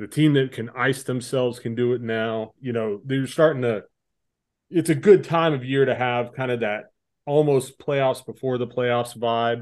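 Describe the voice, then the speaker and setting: A man's plain, everyday voice at medium pitch, with fairly even intonation, a moderate pace and a quiet background. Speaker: podcast co-host. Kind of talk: casual chat.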